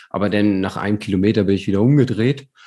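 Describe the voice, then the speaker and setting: This man has an unremarkable speaking voice. His pitch is fairly low, with ordinary variation. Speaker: amateur endurance athlete, podcast host. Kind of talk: casual chat. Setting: remote call.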